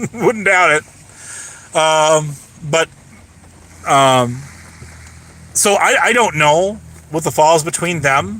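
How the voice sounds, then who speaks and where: Over noticeable background noise, a man with a fairly high voice speaks very slowly with lively intonation and long, frequent pauses. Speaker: streamer. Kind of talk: livestream chat. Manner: halting, many fillers.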